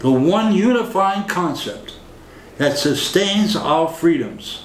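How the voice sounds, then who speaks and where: A man speaks at a very slow pace with lively intonation, amid audible room echo and noticeable background noise. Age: 70s. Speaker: political commentator. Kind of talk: political monologue.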